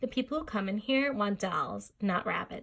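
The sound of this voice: Ordinary shifts in pitch across an unforced reading voice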